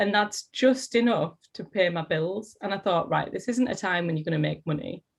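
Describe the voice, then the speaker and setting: A woman with a Teesside accent speaks at a fairly quick pace, her medium pitch showing ordinary variation. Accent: Teesside accent, often taken for Geordie. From northern England, Middlesbrough (Teesside). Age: 30s. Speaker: actor and drama teacher. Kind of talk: interview. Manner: animated.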